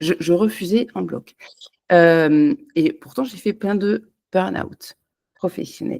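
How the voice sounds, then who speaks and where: Speaking very slowly with long, frequent pauses, a woman uses a fairly low, dark and mellow voice with ordinary pitch variation. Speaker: holistic energy therapist. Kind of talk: unscripted personal talk to camera. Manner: halting, many hesitations.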